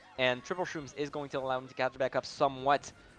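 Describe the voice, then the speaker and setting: A man speaks with music playing behind him. The sound is dry and close, without echo. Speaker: esports caster. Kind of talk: live commentary.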